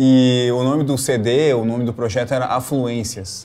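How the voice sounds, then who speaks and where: A man is speaking. He has a Rio Grande do Sul accent. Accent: Rio Grande do Sul (gaúcho). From Rio Grande do Sul, Brazil. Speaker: cellist and music professor. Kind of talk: interview. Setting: video call. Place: studio.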